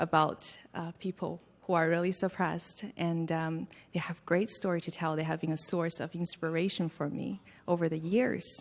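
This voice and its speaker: A woman's plain, everyday voice at a moderate pace with fairly even intonation, on a very clean recording with a silent background. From China, Hunan province; raised in Canada. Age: 20s. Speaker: actress and human rights activist. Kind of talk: press club Q&A. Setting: press club event with audience.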